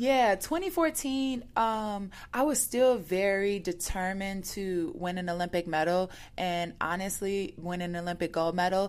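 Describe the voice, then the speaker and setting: A plain, everyday voice with an American accent, ordinary pitch variation and a fairly slow pace, on a very clean recording with a silent background. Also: woman, medium pitch for a woman. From Chicago South Side. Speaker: Olympic athlete. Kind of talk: interview. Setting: in person, Chicago.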